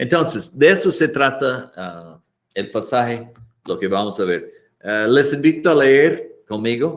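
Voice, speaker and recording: At a very slow pace, a man talks with lively intonation. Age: 60s. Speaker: missionary pastor and Bible teacher. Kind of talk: Bible lesson. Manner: halting, with fillers and repetitions.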